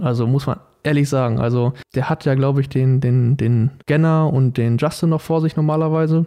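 A man speaks with a fairly high pitch and a dark, mellow tone at a fairly quick pace. His loudness stays very even, and his intonation is fairly even. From Germany, Paderborn (Westphalia). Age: 20s. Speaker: American football quarterback. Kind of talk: casual interview.

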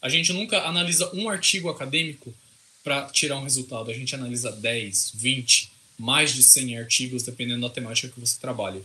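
A man's medium-pitched voice, fairly quick in pace and lively in intonation, against noticeable background noise. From interior of São Paulo state, Brazil. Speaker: computer scientist and researcher. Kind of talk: casual interview.

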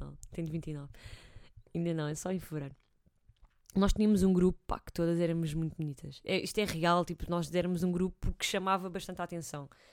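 The voice is an ordinary speaking voice. It moves at a fairly quick pace. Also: woman, fairly low pitch for a woman, fairly even intonation. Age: 20s. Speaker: host's sister, footballer. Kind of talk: casual chat.

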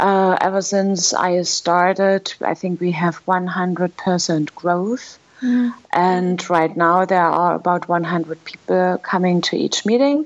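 A woman with a German accent, medium in pitch with ordinary variation, very slow and very even in loudness. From Germany. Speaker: language school director. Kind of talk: interview.

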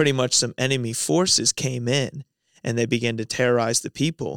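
A man with a medium-pitched, normal speaking voice, fairly even intonation and a fairly quick pace, in a very clean recording with a silent background and a dry, close sound with no echo.

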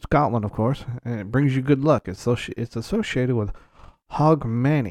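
A man's medium-pitched voice with ordinary pitch variation at a moderate pace, on a very clean recording with a silent background. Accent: Alabama. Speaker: podcast host. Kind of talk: casual chat. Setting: home recording.

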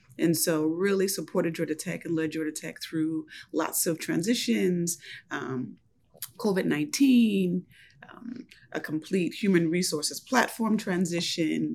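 The voice has vocal fry and an American accent. It moves at a fairly slow pace. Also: woman, fairly low pitch for a woman, lively intonation. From US, Buffalo, New York. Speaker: university administrator. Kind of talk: interview.

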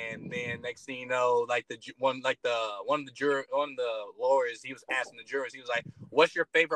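This man has a bright, sharp tone and an American accent. His pitch swings very widely. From Detroit, Michigan. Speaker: stand-up comedian. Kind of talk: casual chat.

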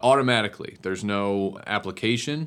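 On a very clean recording with a silent background, a man with an Ohio accent speaks with ordinary pitch variation. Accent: Midwestern American (Ohio). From Northeast Ohio, Cleveland Heights. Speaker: city community development director. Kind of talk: interview. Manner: hesitant with repetitions.

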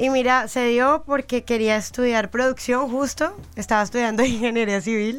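A woman's high-pitched voice at a moderate pace, with very even loudness and hardly any pauses. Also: ordinary pitch variation. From Colombia, Girardot near Bogotá. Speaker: musician. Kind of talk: interview.

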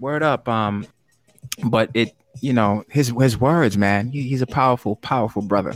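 Lively intonation from an unremarkable speaking voice. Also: man. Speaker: poetry game show host. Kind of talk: hosting a live-streamed spoken word game show, relaxed and upbeat. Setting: live stream, virtual. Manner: smooth, warm, upbeat, encouraging.

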